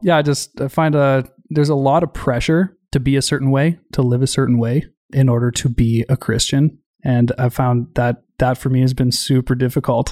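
With an Albertan accent, a man speaks at a moderate pace and medium pitch, his intonation fairly even and loudness very even, in a very clean recording with a silent background and a dry, close sound with no echo. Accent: Canadian, Albertan. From rural Alberta, Canada. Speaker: army veteran. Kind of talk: interview.

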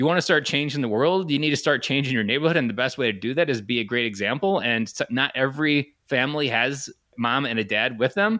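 A man's medium-pitched, bright, sharp voice at a very fast pace with hardly any pauses, in a very clean recording with a silent background. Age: 30s. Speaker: stay-at-home dad. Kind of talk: podcast interview.

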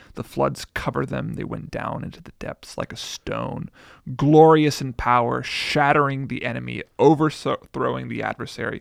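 A soft-spoken man talks at a moderate pace, with big swings in loudness. The recording is very clean with a silent background and a dry, close sound with no echo. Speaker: preacher and blogger. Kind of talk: casual chat about scripture.

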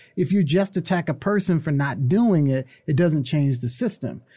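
The speaker has a dark, mellow tone, somewhat breathy delivery, ordinary pitch variation and a moderate pace. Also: man. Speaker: college professor and activist. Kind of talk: casual conversational interview.

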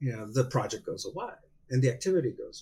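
Somewhat breathy and dark, mellow in tone, a man with a fairly high pitch talks at a fairly quick pace. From Mexico, Hermosillo, Sonora. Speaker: seafood industry market development director. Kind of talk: interview.

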